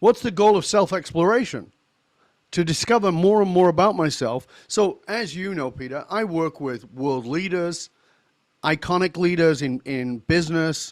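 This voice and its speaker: A man's high-pitched voice with lively intonation at a moderate pace, on a very clean recording with a silent background. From northern England. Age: 60s. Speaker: leadership coach and author. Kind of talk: interview. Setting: studio.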